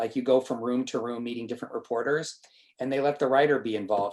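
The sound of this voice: What we hear is an unforced reading voice.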